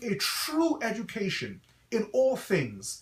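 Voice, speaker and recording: The speaker has an American accent and lively intonation, with noticeable background noise behind. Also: man. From Guyana, then New York City (Brooklyn). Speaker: pastor and school principal. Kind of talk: promotional address to parents. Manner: earnest, preacher-like.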